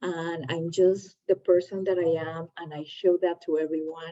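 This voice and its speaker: A woman speaks with a non-native accent. Her pitch is fairly low. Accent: foreign. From Latin America. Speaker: entrepreneur, channel host. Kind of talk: casual chat.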